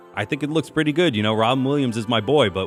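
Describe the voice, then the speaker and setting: Over music in the background, a man speaks very fast in an upbeat tone with lively intonation. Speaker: radio host / on-air personality. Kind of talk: energetic radio show intro and entertainment chatter. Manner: upbeat, casual, chatty.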